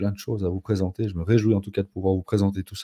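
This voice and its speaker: A dark, mellow, somewhat breathy voice with monotone, flat intonation and a Swiss accent. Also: man, dry, close sound with no echo. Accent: Swiss French, noticeable. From Switzerland, canton of Fribourg. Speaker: no-code consultant. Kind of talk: live stream conversation. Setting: live stream.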